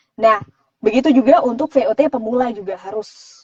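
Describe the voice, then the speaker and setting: A fairly quick pace with ordinary pitch variation, in a dry, close sound with no echo. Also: woman. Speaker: voice-over artist. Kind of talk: live Q&A interview. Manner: casual conversational.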